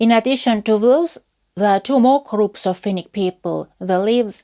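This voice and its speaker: A woman with an Estonian accent, a dark, mellow tone, medium pitch and ordinary pitch variation, at a fairly slow pace in a dry, close sound with no echo. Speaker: folklore researcher. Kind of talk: lecture. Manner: formal.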